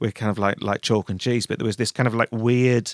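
A man speaks with a Manchester accent. The recording is very clean and dry, close up with no echo and a silent background. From Manchester, northern England. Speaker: fashion stylist and creative director. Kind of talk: casual interview chat.

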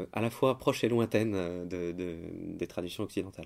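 A man's voice at a fairly slow pace, with ordinary pitch variation, on a very clean recording with a silent background. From France, Paris. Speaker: composer, organist and music teacher. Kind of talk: interview. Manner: halting, many hesitations and repeated words.

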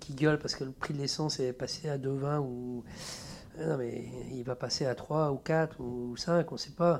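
Fairly slow and fairly high-pitched, a man speaks with fairly even intonation. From France, Troyes. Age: 50s. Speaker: tattoo artist. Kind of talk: casual interview. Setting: home studio. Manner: halting.

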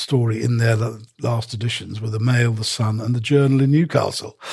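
This man talks at a fairly quick pace in a medium pitch. His voice is somewhat breathy, with fairly even intonation. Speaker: newspaper columnist. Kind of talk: casual chat.

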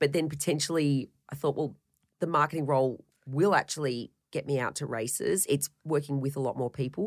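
The speaker has an Australian accent and a fairly quick pace with ordinary pitch variation. The recording is very clean and the background silent. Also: woman, very deep, low pitch for a woman. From Australia, Melbourne. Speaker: baker, former racing engineer. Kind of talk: interview.

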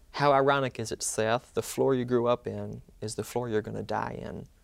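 A man with a Mississippi accent speaks at a moderate pace, his medium-pitched voice holding a fairly even intonation. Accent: Southern US (Mississippi). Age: 20s. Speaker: law student and medical survivor. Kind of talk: interview, personal testimony.

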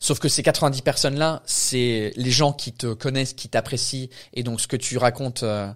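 A man with a medium pitch talks at a fairly slow pace. His intonation is fairly even. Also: very clean recording, silent background. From England. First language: English (speaking French). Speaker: stand-up comedian. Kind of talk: casual chat.

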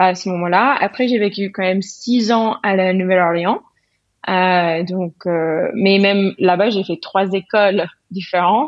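With an English accent, a woman speaks at a very slow pace. Her medium pitch shows ordinary variation. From US South. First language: English (speaking French). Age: 30s. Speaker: painter and illustrator. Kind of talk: interview.

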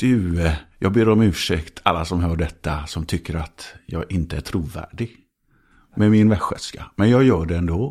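Very deep and low, a man's voice moves at a fairly slow pace with ordinary pitch variation. The recording is very clean, its background silent. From Sweden, grew up in Skåne, Trollhättan and Södertälje area. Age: 50s. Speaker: TV presenter and actor. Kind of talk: casual chat.

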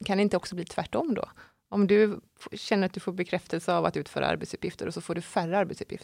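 Speaking at a very fast pace with vocal fry, a woman keeps a medium pitch and fairly even intonation in a dry, close sound with no echo and a very clean recording with a silent background. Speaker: podcast host. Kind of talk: interview. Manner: loud at times.

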